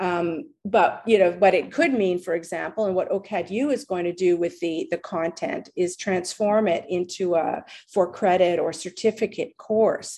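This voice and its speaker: A woman's dark, mellow voice at a medium pitch, with ordinary pitch variation and a moderate pace. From Montreal, Quebec. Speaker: law professor. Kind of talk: interview. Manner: halting, many fillers.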